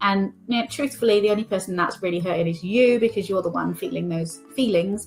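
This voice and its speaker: With a British accent, a woman at medium pitch talks at a fairly quick pace with hardly any pauses, ordinary pitch variation and an animated tone, music playing in the background. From Britain. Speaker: life coach. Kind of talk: motivational talk.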